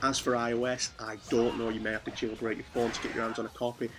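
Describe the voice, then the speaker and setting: Against noticeable background noise, a man with medium pitch talks at a fairly quick pace. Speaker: gaming YouTuber. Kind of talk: casual commentary video.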